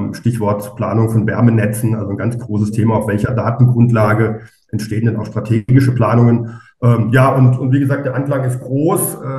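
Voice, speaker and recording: A man's medium-pitched voice at a moderate pace, fairly even in intonation, with audible room echo. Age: 40s. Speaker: architect and startup co-founder. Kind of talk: podcast interview. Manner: hesitant, many fillers.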